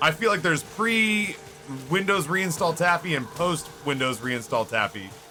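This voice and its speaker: A man with an American accent at a fairly slow pace, music in the background. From Texas (Dallas). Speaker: video game streamer. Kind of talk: casual gaming livestream commentary. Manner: casual, relaxed.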